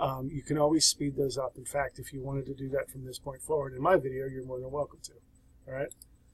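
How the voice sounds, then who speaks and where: A man's somewhat breathy, fairly high voice, very fast and monotone with flat intonation and big swings in loudness. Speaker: sociology instructor. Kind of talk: tutorial. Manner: casual.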